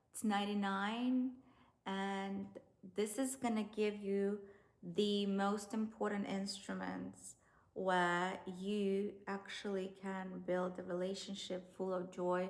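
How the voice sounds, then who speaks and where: A woman's monotone, flat delivery at a very slow pace, with audible room echo. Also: medium pitch for a woman. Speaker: dating and relationship coach. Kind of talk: online course tutorial.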